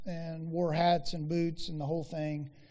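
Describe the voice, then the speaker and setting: With an American accent, a man speaks at a high pitch in a dark, mellow tone, his intonation monotone and flat, with audible room echo. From rural Oklahoma. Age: 40s. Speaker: ranch ministry worker and speaker. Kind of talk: chapel talk. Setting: university chapel with audience. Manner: hesitant, many fillers.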